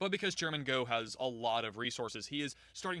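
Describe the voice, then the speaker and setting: Very fast speech from a man at medium pitch. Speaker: anime reviewer. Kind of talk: casual review monologue. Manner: casual, filler-heavy.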